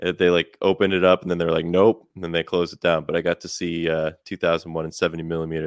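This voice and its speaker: With an American accent, a man speaks very fast in a very deep, low voice, flat and monotone in intonation yet with big swings in loudness. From Chicago, US Midwest. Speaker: musician. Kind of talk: casual interview.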